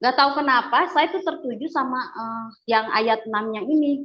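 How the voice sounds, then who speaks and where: A woman is speaking. Her pace is fairly slow. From West Java (Bandung), Sundanese. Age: 40s. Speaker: convert giving testimony. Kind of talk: testimony. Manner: hesitant, many fillers.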